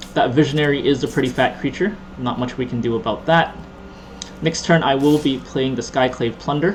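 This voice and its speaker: Over noticeable background noise, a man with a Canadian accent talks at a fairly quick pace, his fairly high pitch showing ordinary variation. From Canada. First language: Cantonese. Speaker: gaming YouTuber. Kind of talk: gameplay commentary. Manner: casual, rambling with repetitions.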